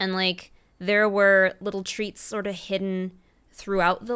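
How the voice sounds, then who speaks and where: At a moderate pace and medium pitch, a woman talks in an ordinary speaking voice, recorded very cleanly against a silent background. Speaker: podcast host for anime convention. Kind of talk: casual chat.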